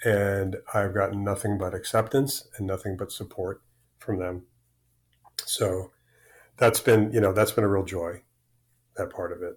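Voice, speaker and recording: On a very clean recording with a silent background, a man with a fairly low, somewhat breathy voice speaks fairly slowly and fairly evenly, with long, frequent pauses. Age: 60s. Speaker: crossdresser telling personal story. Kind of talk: casual interview. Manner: halting, many repetitions.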